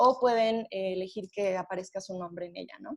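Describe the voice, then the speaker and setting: Here a woman talks at a fairly quick pace in a Mexican accent. Her pitch variation is ordinary. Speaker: webinar presenter. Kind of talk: webinar presentation.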